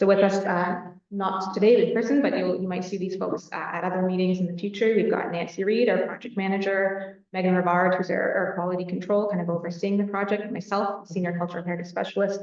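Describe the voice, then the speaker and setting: Audible room echo surrounds a woman speaking very fast, with hardly any pauses. Her pitch is medium and her intonation monotone and flat. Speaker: heritage consultant presenting to a board. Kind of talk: presentation at a meeting. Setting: board meeting room, recorded on camera. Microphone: no microphone, speaking without mic.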